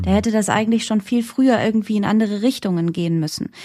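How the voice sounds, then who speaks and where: A woman's fairly high, somewhat breathy voice with a dark, mellow tone at a fairly quick pace, in a very clean recording with a silent background. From Germany, German-Iranian background. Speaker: journalist and presenter. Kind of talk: interview.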